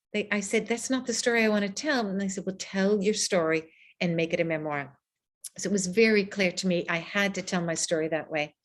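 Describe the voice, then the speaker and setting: This voice has an American accent and a fairly quick pace. Its pitch variation is ordinary. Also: woman, medium pitch for a woman. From United States. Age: 60s. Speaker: author. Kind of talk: book talk Q&A. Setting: video call. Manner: animated.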